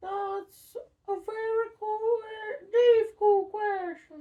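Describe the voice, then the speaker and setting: A squeaky, put-on character voice at an extremely high pitch, delivered very slowly. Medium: read story. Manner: nervous, twitchy.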